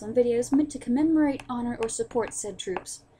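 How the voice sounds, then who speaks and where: Noticeable background noise sits behind the voice. The talking is very fast, with ordinary pitch variation. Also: woman. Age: young. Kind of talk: angry rant to camera.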